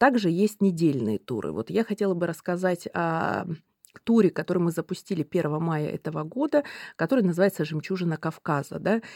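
A woman with a plain, everyday voice, fairly low in pitch, with lively intonation and a moderate pace, on a very clean recording with a silent background and a dry, close sound with no echo. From Russia, Lake Baikal region. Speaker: railway company executive. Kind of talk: interview.

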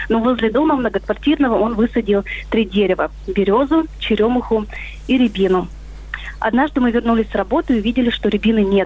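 Speech moves at a fairly quick pace with ordinary pitch variation. Noticeable background noise is present. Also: woman. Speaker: caller. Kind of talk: storytelling. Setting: phone call.

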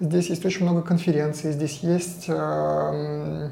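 High-pitched male voice in a flat monotone, with audible room echo. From Russia, Saint Petersburg. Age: 40s. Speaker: digital agency founder and CEO. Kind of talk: podcast interview.

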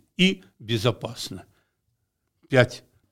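Very wide pitch swings in a very clean recording, silent background. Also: man. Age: old. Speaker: retired construction engineer. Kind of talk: casual interview storytelling.

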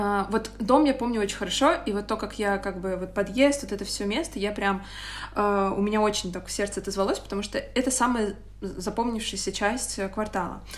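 A woman uses a normal speaking voice, with medium pitch, ordinary pitch variation and a moderate pace. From Moscow, Russia. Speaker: podcast co-host. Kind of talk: casual chat.

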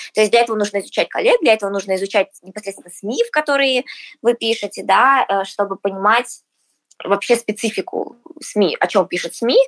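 A woman speaks fairly quickly in a plain, everyday voice, fairly high in pitch with ordinary pitch variation. The sound is dry and close with no echo. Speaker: music marketing agency manager. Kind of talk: casual interview.

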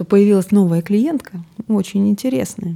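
A woman speaks at a moderate pace with ordinary pitch variation. Her tone is dark and mellow, and somewhat breathy. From Siberia (Novosibirsk). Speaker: podcast co-host and gestalt psychologist. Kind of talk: casual chat.

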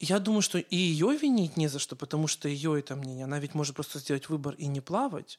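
Delivered at a fairly quick pace with hardly any pauses, an unremarkable speaking voice shows ordinary pitch variation in a dry, close sound with no echo, on a very clean recording with a silent background. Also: man, fairly high pitch for a man. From Ukraine. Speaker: event host and podcast host. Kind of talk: interview, casual chat.

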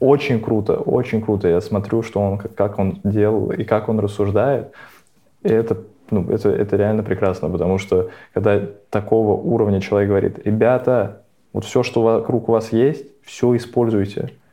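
The speaker is a man with a normal speaking voice and a fairly low pitch. He talks at a moderate pace with fairly even intonation. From Russia, Nizhny Novgorod. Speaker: podcast co-host. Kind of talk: casual chat.

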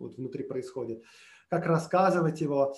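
Here a man speaks at a fairly high pitch. His pitch varies in an ordinary way. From Moscow, Russia. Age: 30s. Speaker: podcaster and musician. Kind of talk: casual interview chat. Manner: talkative, flowing storyteller.

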